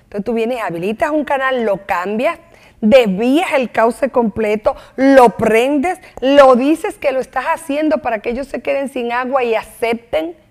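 Pitched high, a woman's voice moves at a fairly slow pace. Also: ordinary pitch variation. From Dominican Republic, Santo Domingo. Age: 50s. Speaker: lawyer and former deputy minister. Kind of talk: TV interview.

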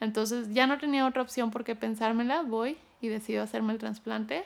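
A plain, everyday voice from a woman, fairly high in pitch, with fairly even intonation at a fairly slow pace. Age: 30s. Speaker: cancer survivor. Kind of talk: testimony.

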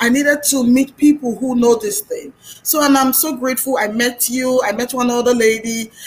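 A woman speaks at a high pitch and a moderate pace, with hardly any pauses and fairly even intonation. Noticeable background noise is present. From Nigeria. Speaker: youtuber and podcaster. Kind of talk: casual chat.

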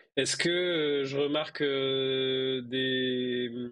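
Pitched at a medium level, a man's voice holds a fairly even intonation. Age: 30s. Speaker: IT worker, tabletop role-playing player. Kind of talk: tabletop role-playing actual play. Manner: hesitant, many fillers.

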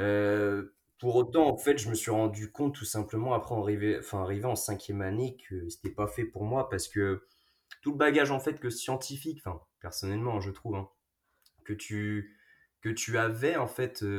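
At a moderate pace, a man with a medium pitch and a somewhat breathy voice speaks with ordinary pitch variation. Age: 20s. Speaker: pharmacy student. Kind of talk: casual chat. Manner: halting, many repetitions.

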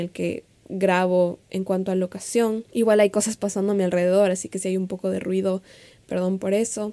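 Her intonation is monotone and flat. The female voice has a dark, mellow tone. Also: very clean recording, silent background. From Ecuador. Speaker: podcast host and social media coach. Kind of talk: solo podcast monologue.

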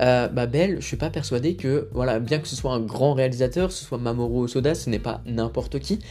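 A man speaks at a fairly quick pace with a medium pitch and ordinary pitch variation. Music plays in the background. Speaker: film podcast host. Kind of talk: casual solo podcast commentary. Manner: hesitant, many fillers.

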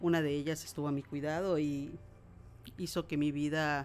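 Speaking at a moderate pace, a woman keeps a flat, monotone delivery at a very deep, low pitch. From Mexico, Yucatán (Mérida). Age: 50s. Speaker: workshop participant. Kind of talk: personal testimony. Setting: her home.

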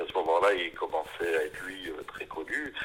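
Noticeable background noise behind a fairly quick-talking man. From France, Épinal (Vosges). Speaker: neurologist and author. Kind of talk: interview, long monologue answer. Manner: halting, with many hesitations and repetitions.

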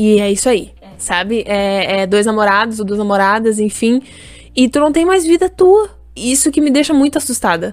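Lively intonation marks this woman's fairly high-pitched voice. She speaks at a moderate pace. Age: 20s. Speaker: podcast co-host. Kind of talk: casual chat. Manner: halting, many repetitions.

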